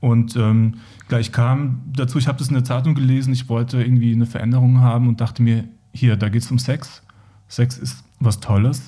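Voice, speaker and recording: A man with a dark, mellow tone and medium pitch talks at a fairly quick pace, somewhat breathy and in a monotone, flat delivery. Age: 40s. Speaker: HIV/AIDS support worker. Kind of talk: podcast interview.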